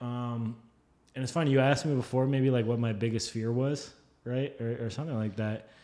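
A man with an American accent, medium pitch, fairly even intonation and a moderate pace. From northern New Jersey, Fort Lee. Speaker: illustrator. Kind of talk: casual chat.

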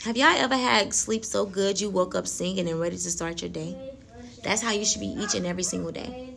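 A woman talks at a very fast pace. Audible room echo and noticeable background noise come through. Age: 30s. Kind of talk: faith talk monologue. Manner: laughs often.

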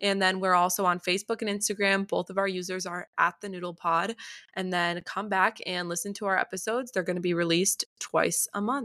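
With an American accent, a bright, sharp voice moves at a fairly quick pace with fairly even intonation, recorded very cleanly against a silent background. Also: woman, medium pitch for a woman. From US Midwest, North Shore of Chicago. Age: 18. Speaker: podcast co-host, college student. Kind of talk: casual chat; scripted outro.

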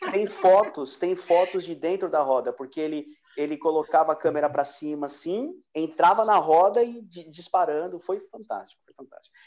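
A man with a high pitch talks at a moderate pace. His intonation is lively. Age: 40s. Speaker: podcast host. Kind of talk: casual chat. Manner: animated.

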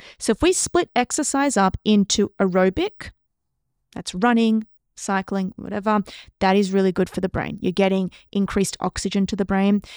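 A woman talks at a moderate pace with a medium pitch and fairly even intonation. The recording is very clean with a silent background and a dry, close sound with no echo. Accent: Australian. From Australia. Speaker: neuroscientist. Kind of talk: casual interview.

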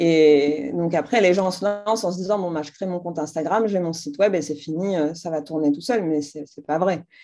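This woman has a fairly low pitch and a dark, mellow tone, with ordinary pitch variation. She talks with hardly any pauses. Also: moderate pace. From Algeria, Algiers. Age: 30s. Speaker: entrepreneur, brand founder. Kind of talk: interview.

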